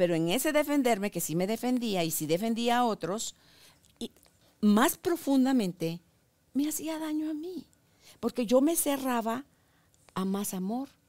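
Over a quiet background, a woman speaks at a high pitch with very wide pitch swings. Her pace is fairly slow, with long, frequent pauses. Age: 60s. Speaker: podcast host. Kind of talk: interview. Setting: studio. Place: studio.

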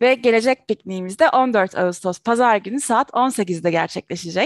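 A woman's voice swings very widely in pitch, recorded dry with no echo against a quiet background. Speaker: show host. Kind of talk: announcements to viewers. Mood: cheerful. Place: home room. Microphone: headset.

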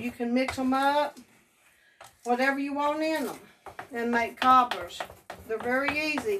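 A woman's high-pitched voice at a moderate pace, fairly even in intonation, amid noticeable background noise. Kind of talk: casual cooking tutorial chat. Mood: warm, grateful, nostalgic. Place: kitchen. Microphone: phone near.

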